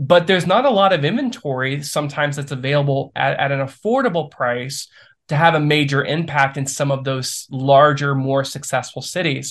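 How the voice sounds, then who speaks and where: A man with an American accent talks at a fairly quick pace in a fairly high pitch, with ordinary pitch variation, hardly any pauses, an unremarkable speaking voice, and a quiet background. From Ohio, US Midwest. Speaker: small-town development entrepreneur. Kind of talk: podcast interview.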